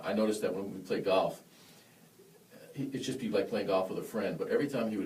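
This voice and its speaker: A man talks at a fairly quick pace in an animated tone. Audible room echo and noticeable background noise are present. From western New York (Buffalo), born in Yonkers. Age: 40s. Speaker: jazz trumpet player. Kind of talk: casual interview chat. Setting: studio, live-streamed. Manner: animated storytelling.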